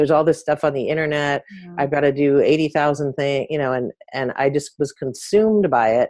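A woman with a General American accent speaks at a very deep, low pitch. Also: ordinary pitch variation, fairly quick pace, big swings in loudness. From US, San Francisco area. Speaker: author and former swimmer, journalist. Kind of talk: casual interview chat.

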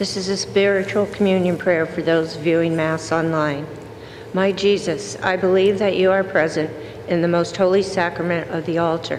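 Against noticeable background noise, a woman speaks at a fairly low pitch. Her intonation stays fairly even. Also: moderate pace. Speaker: lector. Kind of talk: scripture reading. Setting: church.

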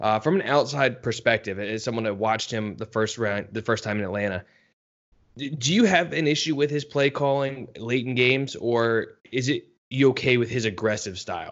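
Speaking at a moderate speed, a man with an unremarkable speaking voice holds a medium pitch that varies in an ordinary way. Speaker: podcast co-host and sports writer. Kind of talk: casual sports podcast chat. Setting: podcast recording.

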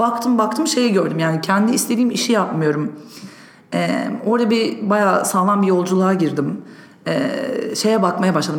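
A woman with a medium pitch and lively intonation speaks at a moderate pace with very even loudness, with audible room echo and noticeable background noise. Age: 30s. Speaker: entrepreneur. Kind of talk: interview. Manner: hesitant with fillers.

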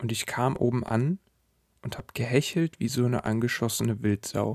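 A normal speaking voice talks at a moderate pace with ordinary pitch variation, in a very clean recording with a silent background and a dry, close sound with no echo. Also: man. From Sauerland, Germany. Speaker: podcast host and weight-loss coach. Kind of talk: solo podcast monologue.

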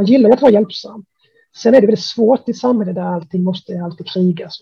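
His pitch varies in an ordinary way. The man speaks at a fairly quick pace. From Sweden. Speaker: music blogger. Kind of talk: casual interview. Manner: halting, many repetitions.

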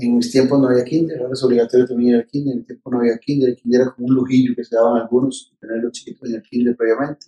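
A man with a Costa Rican accent speaks very fast, with hardly any pauses, at a medium pitch in a flat monotone. His tone is dark and mellow, and the sound is dry and close with no echo. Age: 50s. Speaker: political scientist and presidential pre-candidate. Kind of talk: interview.

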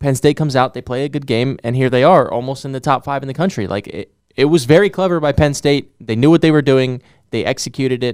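The man talks at a very fast pace and medium pitch. His pitch varies in an ordinary way. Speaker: sports podcast co-host. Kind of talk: casual sports chat.

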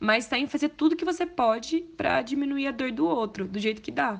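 A woman speaks at a fairly quick pace with lively intonation. She has an unremarkable speaking voice. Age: 20s. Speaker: medical student. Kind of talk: testimony.

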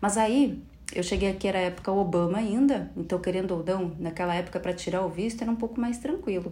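A woman speaks very fast at medium pitch with ordinary pitch variation. Her dark, mellow tone is somewhat breathy, and room echo is audible. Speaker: podcast host. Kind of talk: solo podcast monologue. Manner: animated.

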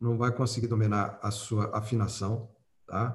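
Audible room echo surrounds a man's somewhat breathy, fairly low voice with ordinary pitch variation. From Piracicaba, São Paulo, Brazil. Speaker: flute teacher and soloist. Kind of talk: interview.

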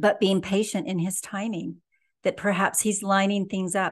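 A woman with a plain, everyday voice speaks at a fairly slow pace and medium pitch over a quiet background. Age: 60s. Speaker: author and inspirational speaker. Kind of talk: interview about faith.

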